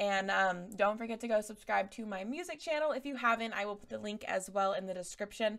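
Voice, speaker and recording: A woman at a fairly quick pace with ordinary pitch variation and a quiet background. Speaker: reaction channel host. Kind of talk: casual reaction commentary. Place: home room. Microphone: studio mic.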